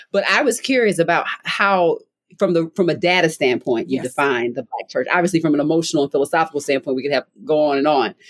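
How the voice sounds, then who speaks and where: A woman speaks at a very fast pace in a very deep, low pitch with lively intonation. The sound is dry and close with no echo. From Baltimore, US. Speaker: podcast host. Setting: parents' basement, remote.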